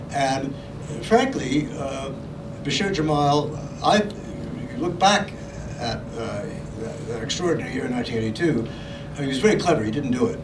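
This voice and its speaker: Lively intonation comes at a moderate pace, with audible room echo and noticeable background noise. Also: man, fairly high pitch for a man. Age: 70s. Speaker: author and journalist. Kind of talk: Q&A discussion. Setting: book launch event. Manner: halting.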